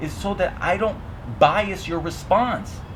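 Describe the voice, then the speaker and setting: Here a man speaks at a high pitch. Audible room echo and noticeable background noise come through. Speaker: teacher. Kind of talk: casual chat.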